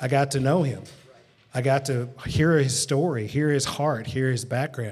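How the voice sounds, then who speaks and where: With a Southern US accent, a man speaks at a medium pitch and a moderate pace, sounding somewhat breathy. His intonation stays fairly even. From rural West Tennessee. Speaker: pastor. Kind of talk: live panel discussion. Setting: museum with live audience.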